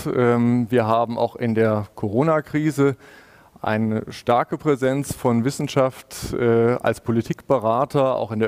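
This man's intonation stays fairly even. The background is quiet. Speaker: panel moderator. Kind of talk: moderated panel discussion. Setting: video call. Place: office. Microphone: headset.

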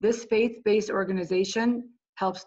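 Fairly even intonation marks a normal speaking voice. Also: woman. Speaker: English learner program supervisor. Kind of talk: interview conversation.

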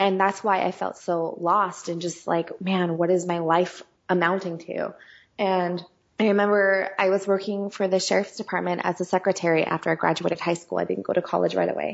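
A woman's medium-pitched speech runs in a monotone, flat intonation. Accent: West Coast American. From US West (California). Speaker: singer and songwriter. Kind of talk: interview conversation.

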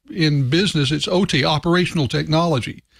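A man with vocal fry and ordinary pitch variation, dry sound with no echo, quiet background. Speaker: remote podcast panelist, industry analyst. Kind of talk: panel discussion commentary. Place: home room. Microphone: studio mic.

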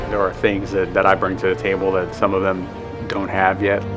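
Clear music plays in the background. A man speaks over it at a fairly quick pace. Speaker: pro wrestler. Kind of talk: documentary interview answer. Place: hall.

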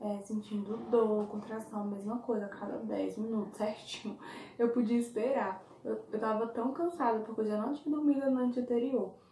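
Fairly even in intonation, a woman's voice carries audible room echo over light background noise. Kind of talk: casual vlog chat. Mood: calm, reflective. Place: home room. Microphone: phone near.

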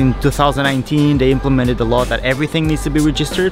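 A man talks very fast, his voice dry with no echo, while clear music plays behind him. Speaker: vlogger. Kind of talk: casual vlog chat, product review. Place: garden. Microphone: phone near.

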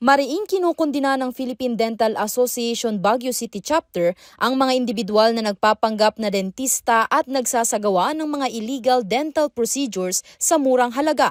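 A woman speaks at a moderate pace with a high pitch and ordinary pitch variation. The sound is dry and close with no echo, and there are hardly any pauses. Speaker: news reporter. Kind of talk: news report narration.

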